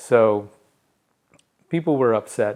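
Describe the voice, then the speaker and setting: The voice belongs to a man. He speaks with a US Midwestern accent. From St. Louis area, Missouri. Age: 60s. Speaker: technical editor and writer. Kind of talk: interview. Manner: halting, many fillers.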